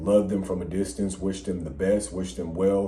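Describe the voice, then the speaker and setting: A man's voice sits very deep and low, dark and mellow in tone with vocal fry. Audible room echo surrounds it. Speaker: podcast co-host. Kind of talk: casual chat. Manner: hard to hear, low volume.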